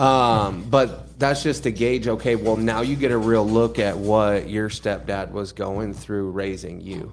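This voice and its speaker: A man speaks with an unremarkable speaking voice at a fairly low pitch. His pace is fairly slow, with hardly any pauses and ordinary pitch variation. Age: 30s. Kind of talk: casual chat.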